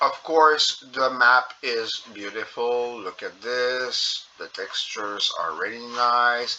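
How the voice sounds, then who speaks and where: Against noticeable background noise, a man with a strong French Canadian accent speaks at a very slow pace. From Quebec. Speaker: gaming youtuber. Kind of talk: gameplay commentary. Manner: halting, many fillers.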